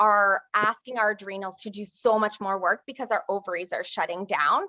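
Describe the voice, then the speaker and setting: A woman's bright, sharp tone comes through in a dry, close sound with no echo. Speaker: doctor specializing in women's health. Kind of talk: product presentation.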